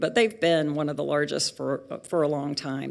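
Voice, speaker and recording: A woman with a Southern US accent speaks in a very deep, low voice. The recording is very clean with a silent background. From US South. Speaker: pharmaceutical industry speaker. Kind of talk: lecture. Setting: auditorium with audience.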